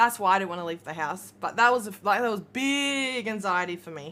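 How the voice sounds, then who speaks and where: With an Australian accent, a woman speaks in a bright, sharp tone. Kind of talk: casual livestream chat.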